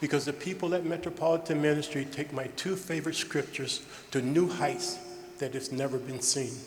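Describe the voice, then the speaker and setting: A man at a fairly quick pace with fairly high pitch and ordinary pitch variation, amid noticeable background noise. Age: 70s. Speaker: award recipient and philanthropist. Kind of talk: award acceptance speech. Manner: emphatic, repetitive.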